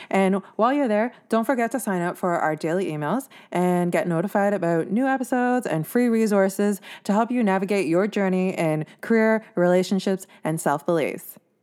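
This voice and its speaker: In a Canadian accent, a woman with an ordinary speaking voice, medium pitch and ordinary pitch variation talks at a fairly quick pace on a very clean recording with a silent background. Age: 20s. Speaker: podcast host. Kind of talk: podcast monologue.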